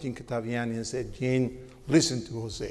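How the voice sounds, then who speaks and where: A man talks at a fairly quick pace. He has a strong Cuban accent. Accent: heavy Cuban Spanish. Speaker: media executive, panelist. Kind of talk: panel talk. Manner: animated.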